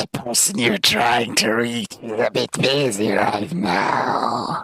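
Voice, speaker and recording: A man puts on a character voice that is raspy. It sits at a medium pitch and moves at a fairly slow pace. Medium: actual play. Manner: flattering, wheedling.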